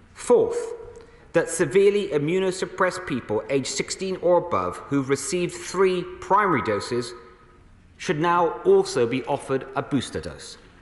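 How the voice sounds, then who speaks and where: At a moderate pace, a man talks with audible room echo around him. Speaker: government minister. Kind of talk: formal parliamentary statement. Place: hall. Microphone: podium.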